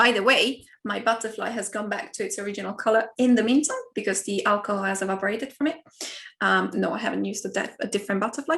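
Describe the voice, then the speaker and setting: A woman with an Italian accent, fairly high pitch, vocal fry and ordinary pitch variation, at a very fast pace. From Italy. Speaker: university lecturer. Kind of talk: online talk and Q&A.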